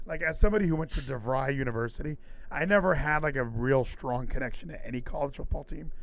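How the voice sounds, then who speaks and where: The speaker goes at a very fast pace in an animated tone with ordinary pitch variation. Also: man, fairly high pitch for a man. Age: 30s. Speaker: podcast host. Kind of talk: casual chat. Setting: live stream.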